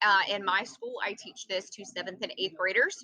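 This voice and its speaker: A woman with a slight Southern US accent, talking at a moderate pace. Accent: slight Southern twang. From US Southeast. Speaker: computer science teacher. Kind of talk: tutorial. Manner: animated.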